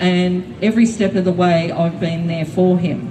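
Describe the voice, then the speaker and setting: With an Australian accent, a woman speaks at a very slow pace and a fairly low pitch with ordinary pitch variation, amid audible room echo and noticeable background noise. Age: 60s. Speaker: public housing tenant, rally speaker. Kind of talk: rally speech. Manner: halting, many fillers.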